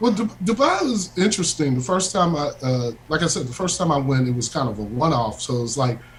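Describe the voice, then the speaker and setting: Over noticeable background noise, a man with an American accent talks at a very fast pace with hardly any pauses, his fairly high pitch swinging very widely. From US Midwest, Chicago suburbs. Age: middle-aged. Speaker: bassist, guest musician. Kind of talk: casual radio interview chat.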